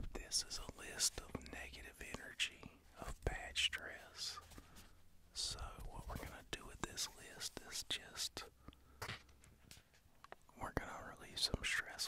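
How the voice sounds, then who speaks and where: Whispering in a soothing, calm tone, a man speaks at a fairly slow pace with long, frequent pauses. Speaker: ASMR creator. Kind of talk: ASMR personal attention, guided stress relief. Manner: soft-spoken, soothing, calm. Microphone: studio mic.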